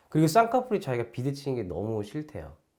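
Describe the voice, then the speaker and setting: The man talks at a very fast pace in a dark, mellow tone. The recording is very clean, with a silent background. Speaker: plastic surgeon. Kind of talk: explainer video.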